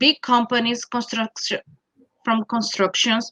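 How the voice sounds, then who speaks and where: A woman with a Brazilian Portuguese accent speaks in a high pitch with a bright, sharp tone, the sound dry and close with no echo. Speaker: college network representative. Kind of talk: presentation in an interview. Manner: halting, many fillers.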